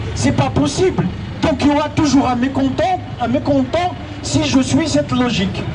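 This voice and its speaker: A man with an Algerian accent at a fairly slow pace, very even in loudness, amid noticeable background noise and audible room echo. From Algeria, Kabylie. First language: Kabyle (speaking French). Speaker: activist. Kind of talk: public debate Q&A.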